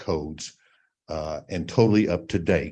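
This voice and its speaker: The man's tone is dark and mellow, heard against a quiet background. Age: 70s. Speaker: property owner speaking at public hearing. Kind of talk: public comment at city council.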